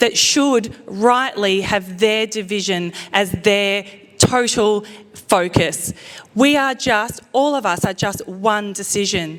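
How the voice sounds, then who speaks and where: Over music in the background, a woman with an Australian accent speaks at a medium pitch and with ordinary pitch variation. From Australia, Queensland Sunshine Coast. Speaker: mayoral candidate. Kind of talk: campaign speech. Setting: event hall with audience, microphone. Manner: loud.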